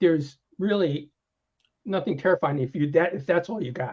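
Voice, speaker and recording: A man speaks at a fairly quick pace in a dark, mellow, somewhat breathy voice. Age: 60s. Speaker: software developer and technical writer. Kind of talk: casual chat. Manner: halting, many restarts.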